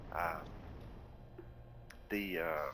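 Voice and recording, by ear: A man's extremely low-pitched voice in a Texan accent, at a very slow pace with fairly even intonation. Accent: Texan, Southern US.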